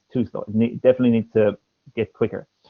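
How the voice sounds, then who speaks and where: This man speaks with an Irish accent. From Ireland. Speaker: English teacher and former language examiner. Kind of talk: speaking test feedback in a livestream. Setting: livestream.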